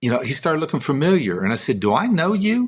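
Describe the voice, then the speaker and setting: A man speaks in a Texan accent, his pitch swinging very widely. The background is quiet. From Texas (Midland). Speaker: songwriter. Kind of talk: testimony. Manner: casual storytelling.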